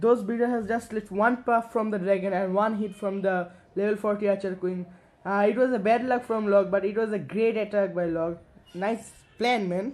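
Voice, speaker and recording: A man with a high pitch, fairly even intonation and a moderate pace. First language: Bengali. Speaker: gaming commentator. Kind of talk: game recap commentary. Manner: halting, frequent fillers.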